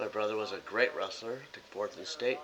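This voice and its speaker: A man with an American accent at a very fast pace, with noticeable background noise. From US Midwest, Chicago suburbs (Illinois). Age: 60s. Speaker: political vlogger. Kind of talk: casual monologue to camera. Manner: blunt.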